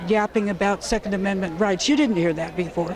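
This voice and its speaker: The speaker goes at a fairly quick pace. Crowd noise can be heard in the background. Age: 70s. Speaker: gun violence survivor and activist. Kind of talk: interview.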